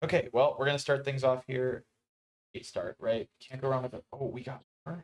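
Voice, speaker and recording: Soft-spoken and at a moderate pace, a man talks with fairly even intonation in a dry, close sound with no echo. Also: medium pitch for a man. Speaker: tournament commentator. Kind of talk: live commentary. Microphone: mic moved closer after audio problem.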